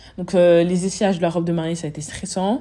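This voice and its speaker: At a fairly quick pace, a woman speaks in a fairly low, somewhat breathy voice with a dark, mellow tone. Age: 20s. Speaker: podcaster and business owner. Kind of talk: casual chat.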